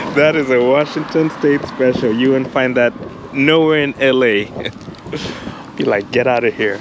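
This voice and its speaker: Against noticeable background noise in a dry sound with no echo, a man with an American accent speaks at a fairly slow pace with long, frequent pauses, fairly even intonation and very even loudness. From US West Coast (Los Angeles). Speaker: wildlife photography vlogger. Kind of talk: casual chat; vlog narration.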